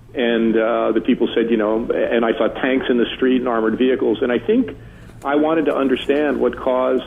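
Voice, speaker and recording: Through noticeable background noise, a man with an American accent talks at a fairly quick pace and medium pitch. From New Jersey, Newark. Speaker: urban studies author. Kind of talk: radio interview.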